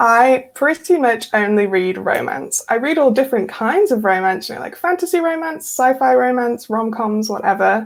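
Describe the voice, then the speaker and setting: Hardly pausing, a woman speaks in a high pitch with very wide pitch swings. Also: moderate pace. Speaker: romance author. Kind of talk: interview. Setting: international call.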